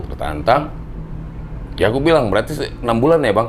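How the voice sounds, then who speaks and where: A man is speaking in a room with audible echo. Noticeable background noise is present too. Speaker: rock singer. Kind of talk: interview. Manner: casual.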